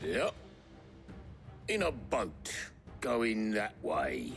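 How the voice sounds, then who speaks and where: Over clear background noise, the speaker uses a raspy, put-on character voice. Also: man. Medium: video game. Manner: chatty, colloquial.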